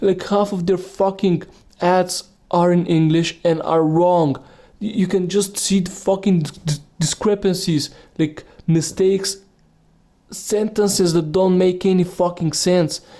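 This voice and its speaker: A man speaks with a non-native accent and a high pitch for a man. His dark, mellow tone stays monotone and flat at a fairly slow pace. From Bulgaria. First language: Bulgarian. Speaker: podcaster. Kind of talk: rant. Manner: halting.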